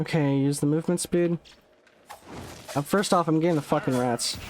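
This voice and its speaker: A man is speaking. His words come out mumbled. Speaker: gaming streamer. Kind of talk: live gameplay commentary. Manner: mumbling.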